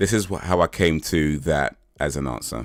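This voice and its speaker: A man speaks with an American accent and vocal fry. The recording is very clean, with a silent background. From England, London. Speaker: live streamer. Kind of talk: casual live stream chat answering viewers. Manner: repetitive, stammering restarts.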